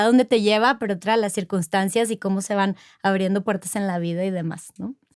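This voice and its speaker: A woman with a plain, everyday voice speaks at medium pitch with ordinary pitch variation. The sound is dry and close with no echo, in a very clean recording with a silent background. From Monterrey, northern Mexico. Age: 40s. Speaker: corporate executive. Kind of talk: interview conversation.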